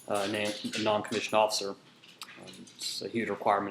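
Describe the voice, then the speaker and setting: Over noticeable background noise, a man with an American accent speaks very fast at a fairly low pitch in a monotone, flat intonation. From Kansas, US Midwest (Hutchinson). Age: 20s. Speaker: soldier and student. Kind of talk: class introduction speech. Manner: many filler words (um, uh).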